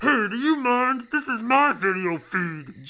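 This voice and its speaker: A cartoonish character voice speaks at a fairly slow pace in a fairly high pitch. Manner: chummy, then irritated and shouting.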